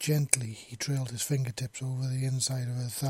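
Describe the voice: Aloud reading, plain in manner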